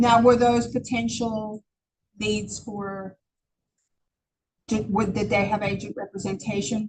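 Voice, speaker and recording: With a non-native accent, a woman speaks at a fairly slow pace in a fairly high, somewhat breathy voice, her intonation monotone and flat, and her speech broken by long, frequent pauses. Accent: foreign-sounding. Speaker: real estate agent and trainer. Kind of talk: training class. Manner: conversational, many fillers.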